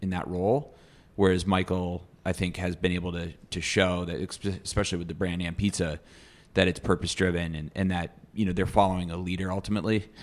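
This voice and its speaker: In a very clean recording with a silent background, a man with a very deep, low voice and an American accent speaks very fast in a monotone, flat way. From US Midwest. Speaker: advertising executive. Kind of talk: casual interview chat.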